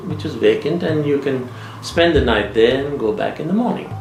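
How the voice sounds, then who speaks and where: A man speaks over noticeable background noise. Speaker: storyteller. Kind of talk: ghost story anecdote told in interview.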